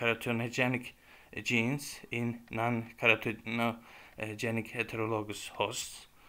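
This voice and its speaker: A man with a Turkish accent speaks at a medium pitch in a bright, sharp tone. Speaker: YouTuber presenting academic work. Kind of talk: lecture. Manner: halting.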